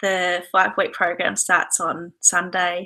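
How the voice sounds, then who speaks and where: Very slow speech from a woman in an Australian accent, medium in pitch with a bright, sharp tone. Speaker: yoga and decluttering teacher. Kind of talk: webinar talk. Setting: online video broadcast from home.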